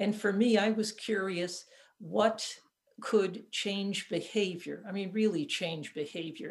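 A woman with a plain, everyday voice and an American accent speaks at a moderate pace. Her pitch is medium and her intonation fairly even. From upstate New York. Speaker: physician and author. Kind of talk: casual chat.

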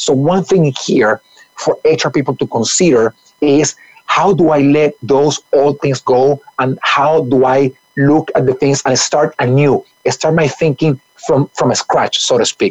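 Fairly slow and very even in loudness, a man with a plain, everyday voice speaks at fairly high pitch with fairly even intonation, in a dry, close sound with no echo. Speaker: HR expert guest. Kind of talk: conversational interview talk.

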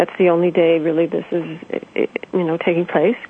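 A woman talks at a moderate pace. Noticeable background noise can be heard behind her. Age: 50s. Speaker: spiritual author. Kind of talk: interview.

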